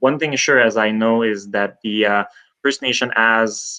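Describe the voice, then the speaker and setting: Against a quiet background, a man of medium pitch speaks fairly slowly in a bright, sharp tone with ordinary pitch variation. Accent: Quebec French. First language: French. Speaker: emergency management specialist. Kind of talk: live stream Q&A. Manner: halting.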